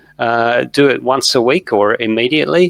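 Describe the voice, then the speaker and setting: A man speaks at a medium pitch with an Australian accent and ordinary pitch variation. The sound is dry and close, with no echo. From Australia (Perth). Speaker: veterinarian and professor. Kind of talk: interview.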